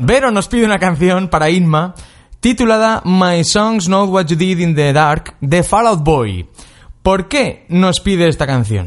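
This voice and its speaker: The speaker talks at a fairly slow pace with lively intonation and very even loudness. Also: man, high pitch for a man. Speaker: radio host. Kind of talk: casual chat. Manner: animated.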